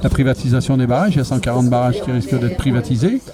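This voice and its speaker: A man speaks very fast with noticeable noise behind him. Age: 60s. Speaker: retired protester. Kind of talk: street interview. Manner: hesitant, many fillers.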